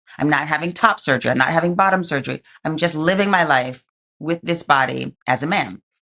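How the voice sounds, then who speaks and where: Speaking in a New York accent, a woman with a very deep, low pitch and a bright, sharp tone talks fairly quickly with ordinary pitch variation. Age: 50s. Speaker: activist and entrepreneur. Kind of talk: interview answer.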